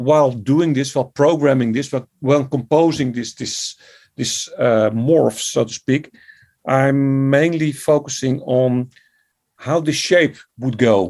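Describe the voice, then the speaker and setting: Very slow speech in a Dutch accent, with long, frequent pauses and ordinary pitch variation. The recording is very clean, with a silent background. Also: man. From Netherlands. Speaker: composer and music educator. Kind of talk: interview.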